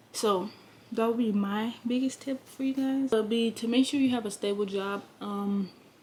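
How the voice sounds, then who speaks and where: A woman's somewhat breathy, fairly high voice with fairly even intonation. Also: moderate pace. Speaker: lifestyle vlogger. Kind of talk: casual vlog talk to camera. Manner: hesitant with many fillers.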